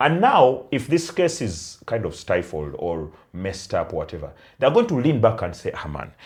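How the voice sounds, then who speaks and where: The speech moves at a moderate pace. It is delivered with a non-native accent. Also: man. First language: not Luganda. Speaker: podcast co-host. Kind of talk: casual chat.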